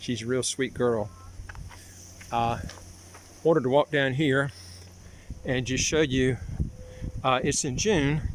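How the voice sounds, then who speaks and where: Long, frequent pauses break up this man's speech in a Southern US accent. Noticeable background noise is present. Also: medium pitch for a man, ordinary pitch variation, fairly slow pace. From US South, North Carolina. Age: 60s. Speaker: vlogger, citizenship consultant. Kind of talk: casual walking vlog. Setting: outdoors, walking. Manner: halting, many fillers.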